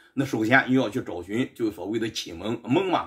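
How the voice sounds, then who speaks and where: The pace is moderate. The background is quiet. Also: man. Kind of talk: lecture. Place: home room. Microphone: camera far.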